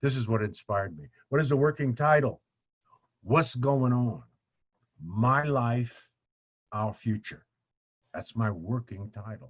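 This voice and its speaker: Somewhat breathy, a man speaks at a medium pitch with ordinary pitch variation. His pace is fairly slow, broken by long, frequent pauses. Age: 70s. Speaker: author and speaker. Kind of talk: casual interview conversation.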